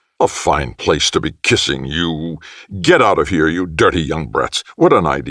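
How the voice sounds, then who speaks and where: Putting on a character voice, a man talks at a moderate pace in a guttural, very deep, low voice. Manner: blustering.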